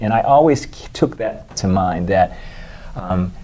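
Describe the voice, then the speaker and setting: A man has an ordinary speaking voice. He talks at a moderate pace with lively intonation. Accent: American. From Washington D.C. area. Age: 60s. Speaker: dermatologist. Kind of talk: interview.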